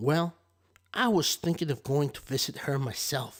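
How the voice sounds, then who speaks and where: A man puts on a gruff character voice. It sits fairly high and moves at a moderate pace. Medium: read story. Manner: sly, wheedling.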